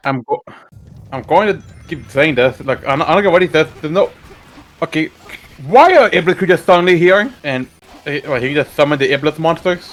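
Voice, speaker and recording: Over music in the background, a man speaks at a fairly quick pace with fairly high pitch and ordinary pitch variation. His speech has long, frequent pauses. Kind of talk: casual gaming commentary.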